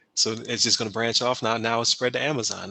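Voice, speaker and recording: A man rattles off words at a very fast pace in a flat monotone at medium pitch, with noticeable background noise. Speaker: podcast host. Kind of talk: casual podcast conversation.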